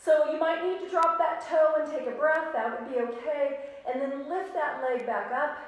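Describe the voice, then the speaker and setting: Strong room echo surrounds a woman who speaks at a fairly slow pace with a high pitch and ordinary pitch variation. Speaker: yoga instructor. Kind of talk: live-streamed guided yoga class, cueing poses and breaths in a calm, instructional tone. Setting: live video stream. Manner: calm, steady and encouraging, with a soothing, measured pace. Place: home room. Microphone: camera far.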